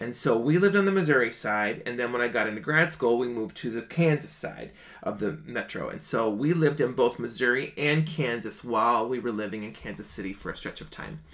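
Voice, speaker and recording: Over a quiet background, a man with an American accent speaks at a fairly quick pace, his intonation lively and his loudness swinging widely. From Minnesota, small town outside Minneapolis. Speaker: singer and online show host. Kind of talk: casual livestream monologue. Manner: animated. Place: home room.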